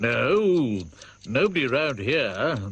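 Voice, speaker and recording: A man's put-on character voice at a medium pitch. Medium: short film.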